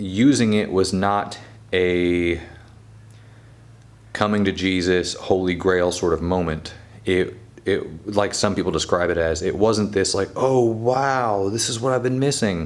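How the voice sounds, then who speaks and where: Audible room echo surrounds the speech. The pace is fairly slow, with ordinary pitch variation. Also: man, fairly low pitch for a man. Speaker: photography youtuber. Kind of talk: casual camera review monologue. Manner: hesitant, stumbles over words.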